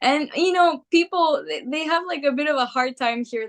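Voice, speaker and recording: With a Greek accent, a woman speaks at a moderate pace and with lively intonation, the sound dry and close with no echo. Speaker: rock singer. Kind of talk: interview. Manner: casual, filler-heavy speech.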